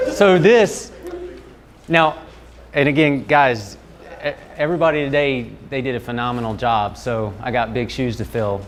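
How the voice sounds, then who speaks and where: A man speaks with a Southern US accent. His pitch variation is ordinary. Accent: Southern US, noticeable. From North Carolina (Fuquay-Varina, near Raleigh). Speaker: strength coach presenter. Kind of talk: workshop presentation. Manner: casual, conversational with hesitations.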